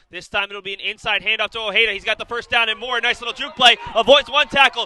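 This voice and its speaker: A man's voice with noticeable background noise. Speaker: sports play-by-play broadcaster. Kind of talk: live football play-by-play commentary. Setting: broadcast booth.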